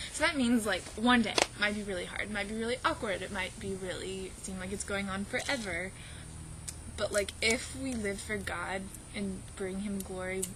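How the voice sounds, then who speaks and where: There is audible room echo and noticeable background noise as a woman speaks at a moderate pace in a medium pitch with ordinary pitch variation. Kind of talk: casual vlog testimony. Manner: animated.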